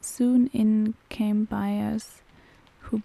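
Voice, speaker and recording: Delivery comes at a very slow pace in a calm tone with a German accent. Intonation is monotone and flat. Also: woman. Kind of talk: bedtime story reading. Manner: soft-spoken, calm.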